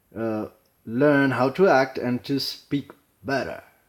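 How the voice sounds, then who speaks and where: A man talks at medium pitch, captured on a very clean recording with a silent background. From Chile. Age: 40s. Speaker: acting learner. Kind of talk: casual explanation. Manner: halting.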